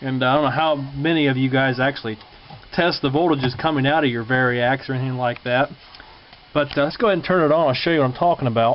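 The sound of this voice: Speaking at a fast pace, the man has a medium pitch and ordinary pitch variation.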